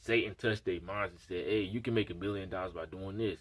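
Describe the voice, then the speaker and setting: The pace is fairly quick. The voice is somewhat breathy. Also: man. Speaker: vlogger. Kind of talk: casual monologue vlog. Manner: halting, stuttering.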